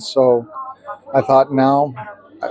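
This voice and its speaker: Through noticeable background noise, a man with an American accent speaks at a fairly high pitch. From US Southwest, Flagstaff, Arizona. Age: 60s. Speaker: retired military nurse. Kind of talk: interview. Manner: hesitant, many fillers.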